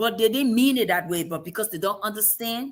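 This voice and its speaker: A woman speaks with an African accent and lively intonation. Her tone is animated. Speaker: show host. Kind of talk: casual discussion.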